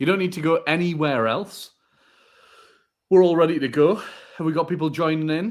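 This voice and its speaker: Speaking at a fairly quick pace with long, frequent pauses, a man with a northeast England accent has a fairly high pitch and ordinary pitch variation on a very clean recording with a silent background. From northern England, Northumberland. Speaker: podcast co-host. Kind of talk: live podcast chat.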